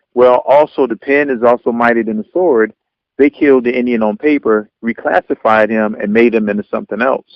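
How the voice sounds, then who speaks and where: This man has a normal speaking voice at a medium pitch. He talks fairly quickly, with fairly even intonation. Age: 40s. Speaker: radio show host. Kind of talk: radio interview, host questions. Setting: phone line.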